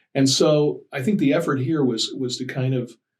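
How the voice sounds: A man talks at a moderate pace with medium pitch and ordinary pitch variation. Audible room echo surrounds his voice.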